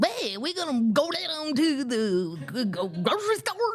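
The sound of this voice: A put-on character voice in a Southern accent, high-pitched with very wide pitch swings, at a fairly slow pace. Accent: Southern, badly done.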